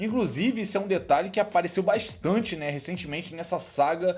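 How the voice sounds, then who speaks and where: The tone of this man is animated. Pitch moves up and down in an ordinary way. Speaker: anime YouTuber. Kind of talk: casual Q&A commentary. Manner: fast.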